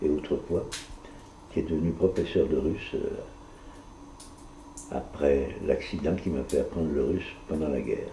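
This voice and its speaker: A man speaking at a fairly slow pace, with audible room echo. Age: 80s+. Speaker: retired teacher. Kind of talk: casual chat. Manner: soft-spoken.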